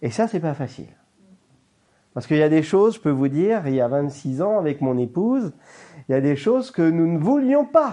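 A man with a dark, mellow tone and a fairly high pitch speaks at a moderate pace, his pitch swinging very widely between long, frequent pauses. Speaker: pastor. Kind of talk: sermon.

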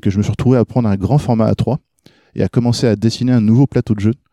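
A man talks at a very fast pace with a fairly low pitch and a dark, mellow tone. The sound is dry and close with no echo, over a quiet background. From France. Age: 30s. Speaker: game designer and graphic artist. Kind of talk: podcast interview.

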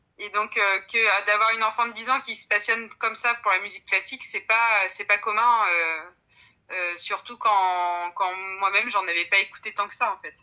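The recording is very clean, with a silent background. A bright, sharp tone moves at a moderate pace with fairly even intonation. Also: woman, medium pitch for a woman. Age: 30s. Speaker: pianist and piano teacher. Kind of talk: interview. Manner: halting.

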